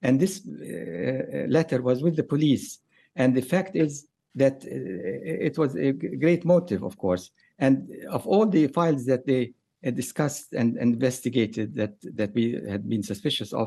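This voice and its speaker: A man with a Palestinian accent speaks in a dark, mellow voice with vocal fry and very wide pitch swings. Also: medium pitch for a man, moderate pace. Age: 70s. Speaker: lawyer and author. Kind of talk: radio interview. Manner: halting, hesitant, repeats words.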